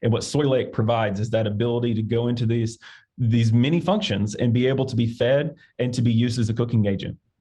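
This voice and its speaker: In an Arkansas accent, a man talks at a very fast pace. His voice is somewhat breathy and medium in pitch. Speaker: agricultural industry director. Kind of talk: interview. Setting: podcast recording. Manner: halting, with fillers.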